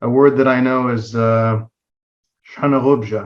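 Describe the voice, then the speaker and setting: The pace is fairly slow. A man talks at medium pitch. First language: Circassian. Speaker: student. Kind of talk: self-introduction in class.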